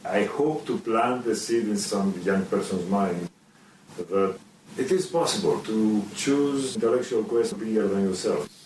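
Someone with a Greek accent speaks at a fairly slow pace with lively intonation and very even loudness, over noticeable background noise. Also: man, medium pitch for a man. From Greece. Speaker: computer scientist and graphic novel author. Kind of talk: interview with children. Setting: video call. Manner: halting, with fillers.

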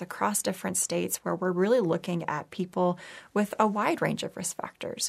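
In an ordinary speaking voice, a woman with an American accent talks at medium pitch with fairly even intonation. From Texas. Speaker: neurology professor and researcher. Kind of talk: interview. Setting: studio.

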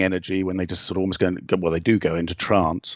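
A man speaks with a very deep, low pitch. He has an English accent. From England. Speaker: novelist and shamanic practitioner. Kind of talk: interview.

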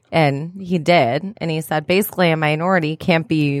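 Her pitch is very deep and low, in a Michigan accent. The woman's intonation stays fairly even. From St. Clair Shores, Michigan. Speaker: podcast co-host. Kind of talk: casual chat. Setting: studio.

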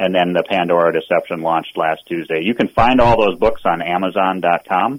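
A man's very deep, low voice with an American accent, ordinary pitch variation, a moderate pace and hardly any pauses. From Minnesota. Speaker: political candidate, retired naval officer. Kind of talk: radio interview. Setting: phone call.

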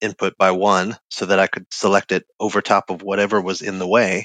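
A normal speaking voice from a man, fairly low in pitch and at a fairly quick pace, with a dry, close sound with no echo and a quiet background. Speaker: front-end developer. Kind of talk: casual chat. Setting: video call.

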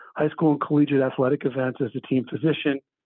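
A man's voice, fairly high in pitch. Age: 60s. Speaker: orthopedic surgeon. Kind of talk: interview.

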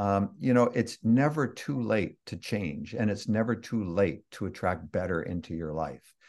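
With a Canadian accent and an ordinary speaking voice, a man talks at a fairly low pitch and moderate pace with lively intonation and hardly any pauses, over a quiet background. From Canada (Toronto, Ontario). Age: 60s. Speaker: author and online marketer. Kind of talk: interview.

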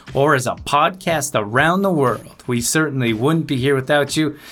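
A man with a normal speaking voice moves at a fairly quick pace, using ordinary pitch variation. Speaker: radio host. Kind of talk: interview. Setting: video call.

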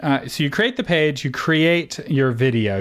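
In a normal speaking voice, a man talks at a moderate pace. His intonation is lively. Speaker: podcast host. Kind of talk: interview conversation.

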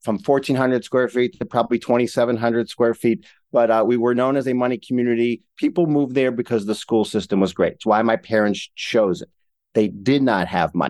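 A man with an American accent speaks in a plain, everyday voice at medium pitch, fairly quickly, with ordinary pitch variation. The sound is dry and close with no echo, on a very clean recording with a silent background. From Ohio, Cleveland. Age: 50s. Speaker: entrepreneur. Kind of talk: interview.

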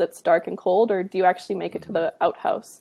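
Speaking at a fairly quick pace, a woman talks with a western Canadian accent. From Canada, British Columbia (Kamloops). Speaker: graduate student, wildlife biologist. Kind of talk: interview.

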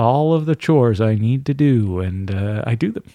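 Over a quiet background, a man speaks at a fairly slow pace. His medium-pitched voice has a dark, mellow tone and ordinary pitch variation. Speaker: voice actor and audiobook narrator. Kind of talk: casual chat.

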